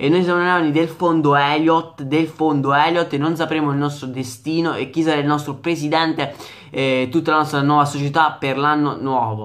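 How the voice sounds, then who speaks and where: A man speaks at a fairly quick pace against a quiet background. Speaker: football vlogger and Milan fan. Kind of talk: angry rant about club owner, direct address to viewers. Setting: home video recording for online channel. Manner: agitated, indignant, repetitive and emphatic; loud, exasperated, hammering the same phrases. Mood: angry, agitated. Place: home room. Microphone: phone near.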